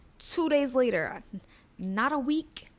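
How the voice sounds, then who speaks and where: An animated woman with an American accent, lively intonation, a fairly slow pace, and music in the background. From New York. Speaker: model and vlogger. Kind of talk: casual vlog talk to camera.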